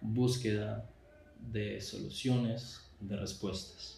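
The speech moves at a very slow pace in a monotone, flat intonation. Noticeable background noise and audible room echo surround it. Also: man. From Colombia. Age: 20s. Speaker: visual artist, podcast host. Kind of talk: personal podcast monologue. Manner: halting, with fillers and repetitions.

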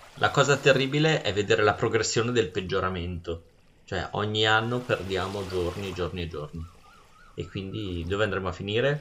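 A plain, everyday voice, this man speaks at a fairly quick pace with fairly low pitch and ordinary pitch variation. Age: 40s. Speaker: podcast host. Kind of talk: casual chat.

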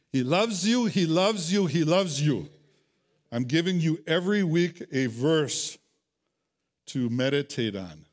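A man with an American accent speaks at a fairly slow pace in a fairly high pitch, leaving long, frequent pauses. His intonation is lively, and the recording is very clean with a silent background. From US Midwest, Wisconsin. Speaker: pastor. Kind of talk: sermon. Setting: church. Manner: halting, frequent repetitions.

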